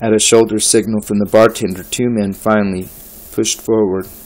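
Someone reads text aloud. The delivery is plain.

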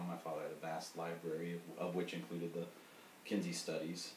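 A man's speech carries audible room echo amid light background noise. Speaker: coach explaining his work. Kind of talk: interview answer. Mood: relaxed, thoughtful. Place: home room. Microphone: camera far.

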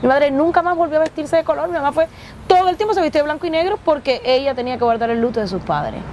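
A woman with a Cuban accent speaks at a very fast pace in a high pitch with lively intonation, in a dry sound with no echo over light background noise. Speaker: actress and comedian. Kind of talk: interview storytelling. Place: bus. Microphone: lapel.

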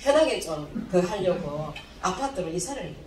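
The pitch swings very widely in this voice. Audible room echo and light background noise are present. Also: woman. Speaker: health supplement distributor; speaker. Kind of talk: seminar talk. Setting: stage with audience. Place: hall.

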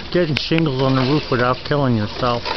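Dry sound with no echo over loud background noise. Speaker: homeowner narrating the work. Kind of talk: casual narration of home project. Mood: amused, proud. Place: open country. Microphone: phone near.

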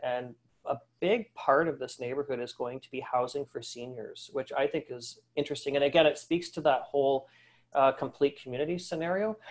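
Fairly quick pace, ordinary pitch variation, and a normal speaking voice. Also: man. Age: 40s. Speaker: retail industry analyst. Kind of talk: webinar presentation. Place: home room. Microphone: webcam.

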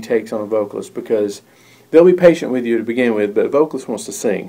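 A man speaks at a very fast pace in a dark, mellow tone. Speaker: recording engineer instructor. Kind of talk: tutorial. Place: studio. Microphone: phone near.

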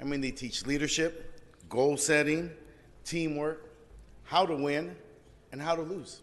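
A man at a fairly slow pace, with long, frequent pauses. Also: fairly high pitch for a man, fairly even intonation. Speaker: city council member. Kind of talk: formal public meeting, speech of praise. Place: hall. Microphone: podium.

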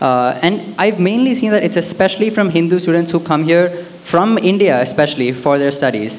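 At a fairly quick pace, a man talks with a high pitch, lively intonation and very even loudness. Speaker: audience member, recent graduate. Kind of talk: audience question at live event. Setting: event hall with audience. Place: hall. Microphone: handheld.

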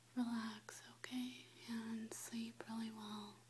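Soft-spoken and very slow in pace, a woman talks over light background noise. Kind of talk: soft personal address to camera. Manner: soft, hushed close-up ASMR speech. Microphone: webcam.

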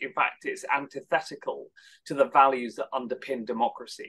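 Fairly quick delivery from a male speaker. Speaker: head of an anti-hate advocacy nonprofit. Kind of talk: panel discussion. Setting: online webinar. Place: home room. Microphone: video call.

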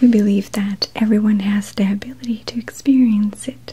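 Whispering at a moderate pace, a woman is soft-spoken and breathy. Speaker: presenter. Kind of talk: soft explanatory talk to viewer. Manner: soft, breathy ASMR whisper. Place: studio.

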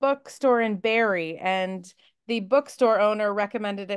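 A woman talks at a moderate pace with fairly even intonation. The background is quiet. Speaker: book club host. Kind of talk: interview host chat. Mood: warm, cheerful, laughing. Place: home room. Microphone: video call.

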